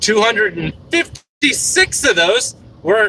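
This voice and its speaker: A man with an American accent speaks in a raised, projected voice at a high pitch, swinging very widely in pitch. Noticeable background noise sits behind him. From US. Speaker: streamer. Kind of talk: livestream commentary. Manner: animated.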